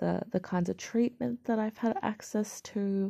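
A woman's dark, mellow tone in an Australian accent, at a fairly slow pace against a quiet background. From Australia, major city. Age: 20s. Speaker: podcaster sharing mental health experience. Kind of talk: personal monologue. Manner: halting, many fillers and repeats.

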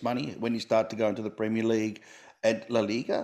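A man with an Australian accent speaks at a fairly quick pace. The recording is very clean, with a silent background. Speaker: comedian podcast host. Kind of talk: interview.

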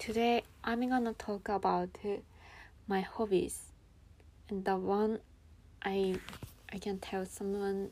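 With a Japanese accent, a woman speaks very slowly in a dark, mellow tone with monotone, flat intonation. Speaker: English learner podcaster. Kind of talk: solo monologue. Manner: halting.

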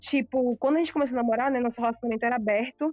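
Against noticeable background noise, a woman speaks at a high pitch with fairly even intonation. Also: dry, close sound with no echo. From southern Bahia, Brazil (Itacaré). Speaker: vegan food business owner. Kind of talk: casual chat.

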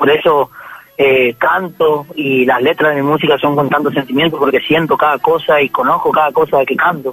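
Recorded dry and close with no echo but with noticeable background noise, a man speaks in a fairly high voice with fairly even intonation. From Formosa, northern Argentina. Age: 20s. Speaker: folk singer. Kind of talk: radio interview.

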